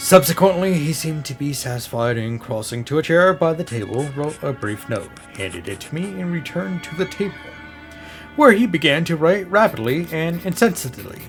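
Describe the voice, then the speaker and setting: Music sits behind a man's fairly high voice. His pitch swings very widely. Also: big swings in loudness. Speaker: storyteller. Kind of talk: horror story reading.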